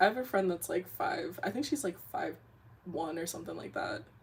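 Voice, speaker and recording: With vocal fry and lively intonation, a woman talks at a moderate pace. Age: 30s. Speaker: webcomic artist and streamer. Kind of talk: casual livestream chat. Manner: animated.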